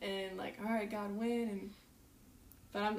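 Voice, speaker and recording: A woman with an American accent is heard amid noticeable background noise and audible room echo. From US South, North Carolina. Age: 20s. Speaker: missionary. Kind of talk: casual interview chat. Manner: animated.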